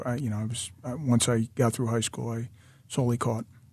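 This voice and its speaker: A man with an American accent speaks at a fairly quick pace and a medium pitch. His voice is somewhat breathy against a quiet background. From Pennsylvania, Philadelphia area (Hatboro, Doylestown). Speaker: college baseball head coach. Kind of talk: interview. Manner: halting, frequent repetitions and fillers.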